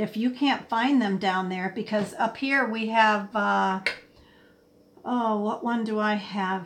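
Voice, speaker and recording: A woman with a plain, everyday voice speaks at a fairly high pitch and a fairly slow pace, her intonation fairly even. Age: 60s. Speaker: livestream host. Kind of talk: casual chat. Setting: live stream.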